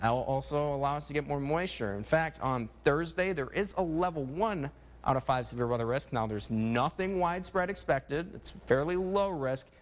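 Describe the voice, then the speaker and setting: A man with an American accent talks in a plain, everyday voice, fairly high in pitch. His pace is fairly quick and his intonation lively. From Minnesota. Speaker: broadcast meteorologist. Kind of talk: TV weather forecast.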